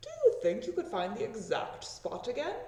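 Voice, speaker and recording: A put-on character voice with a fairly high pitch moves at a moderate pace. Light background noise and a slight echo can be heard. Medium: read story. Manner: polite, courteous.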